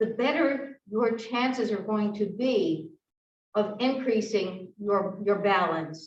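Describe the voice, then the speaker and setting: The speech moves at a very slow pace with very even loudness, and audible room echo surrounds it. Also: woman, fairly high pitch for a woman, ordinary pitch variation. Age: 70s. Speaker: fitness instructor. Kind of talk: exercise class instruction. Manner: halting.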